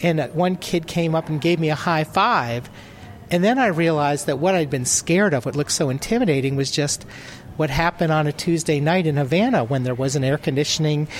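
An ordinary speaking voice at a fairly quick pace, with ordinary pitch variation and very even loudness. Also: man, fairly high pitch for a man. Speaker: travel writer. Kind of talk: interview at conference. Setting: conference showcase.

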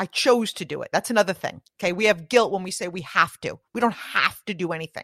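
Recorded very cleanly against a silent background with a dry, close sound and no echo, a woman with an unremarkable speaking voice talks at a medium pitch with lively intonation. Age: 40s. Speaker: network marketing professional and podcast host. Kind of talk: interview conversation.

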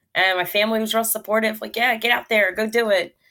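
A woman with an American accent talks at a fairly quick pace in a plain, everyday voice. Her pitch is fairly high, with ordinary pitch variation. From Philadelphia, Pennsylvania. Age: 30s. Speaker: comedian and mental health advocate. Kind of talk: interview.

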